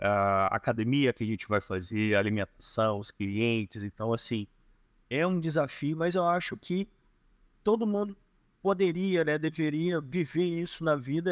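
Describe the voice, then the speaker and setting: A man with a Carioca accent, fairly high pitch and very wide pitch swings, at a fairly slow pace, in a dry, close sound with no echo. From Rio de Janeiro. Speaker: digital nomad. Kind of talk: podcast interview answer. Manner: reserved, introspective.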